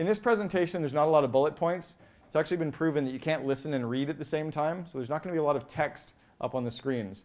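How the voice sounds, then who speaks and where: Speaking very fast, a man keeps ordinary pitch variation. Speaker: business coach, keynote speaker. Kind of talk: keynote talk. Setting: stage with audience.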